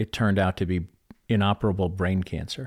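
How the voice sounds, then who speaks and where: On a very clean recording with a silent background, a voice with an American accent and fairly even intonation comes through dry and close with no echo. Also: man. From Chicago, US Midwest. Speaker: author and speaker. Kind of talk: interview conversation.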